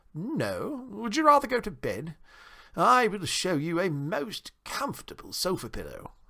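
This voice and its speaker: A man's put-on character voice, high in pitch, at a moderate pace. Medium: read story. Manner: genteel, well-bred.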